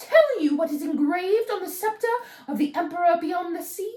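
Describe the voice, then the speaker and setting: A shrill, female-sounding voice performs a put-on character voice. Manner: taunting.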